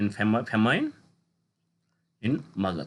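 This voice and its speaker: Speaking at a moderate pace with a Kashmiri accent, a man swings his pitch very widely. The background is quiet. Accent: Indian English, Kashmiri. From Kashmir, North India. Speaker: teacher. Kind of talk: lecture. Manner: halting, with self-corrections.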